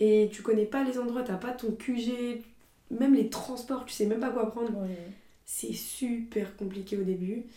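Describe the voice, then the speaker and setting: Swinging widely in loudness, a woman with a normal speaking voice talks at a fairly slow pace with a fairly high pitch and fairly even intonation. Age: 20s. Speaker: student and content creator. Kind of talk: casual chat.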